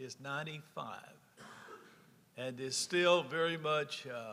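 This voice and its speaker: A bright, sharp tone in a Louisiana accent at a fairly slow pace. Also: man. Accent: Southern US (Louisiana). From rural north Louisiana. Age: 70s. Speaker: former state senator. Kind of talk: personal storytelling at a conference.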